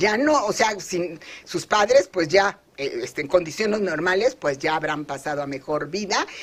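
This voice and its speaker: With lively intonation, a woman speaks at a moderate pace in a medium pitch. Background noise is noticeable. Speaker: pension expert. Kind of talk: interview. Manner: halting; animated.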